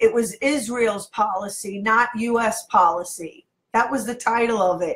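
A woman speaks at a fairly high pitch and a fairly slow pace. Her tone is animated, with ordinary pitch variation. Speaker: internet radio host. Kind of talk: casual interview. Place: home room. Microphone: webcam.

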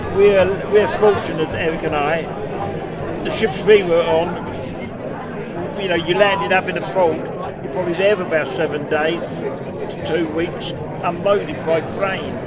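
Crowd noise fills the background as a man speaks at a moderate pace. He leaves long, frequent pauses. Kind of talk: interview answer. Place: hall. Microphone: phone near.

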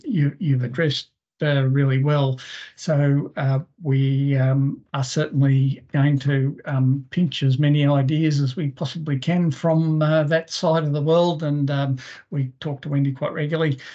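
The voice is dark and mellow, somewhat breathy, with an Australian accent. Its intonation stays monotone and flat over a quiet background. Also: man, fairly high pitch for a man, fairly slow pace. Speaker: forestry industry representative. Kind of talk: webinar discussion. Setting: video call. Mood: friendly, appreciative. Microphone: video call.

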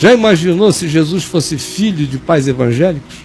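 Moderately paced speech with lively intonation over background music. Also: man. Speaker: talk show host or pastor. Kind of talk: interview answer. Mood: animated, humorous at times. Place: home room.

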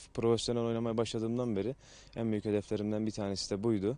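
A man's dark, mellow voice, monotone and flat in intonation, in a dry sound with no echo. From Turkey. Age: 20s. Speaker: professional footballer. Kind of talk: interview. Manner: hesitant with many fillers. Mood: calm, measured. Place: stadium.

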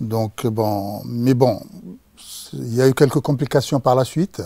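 The man has a dark, mellow tone at medium pitch, speaking fairly slowly with fairly even intonation. The sound is dry with no echo, and the background is quiet. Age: 60s. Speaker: patient. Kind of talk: patient testimony. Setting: studio. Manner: halting, many hesitations. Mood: calm, reflective about illness. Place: studio. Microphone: lapel.

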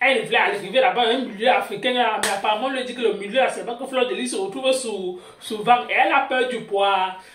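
Delivered at a fairly quick pace, the speech comes with light background noise and audible room echo. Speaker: gossip channel host. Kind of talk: gossip news commentary. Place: home room. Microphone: phone near.

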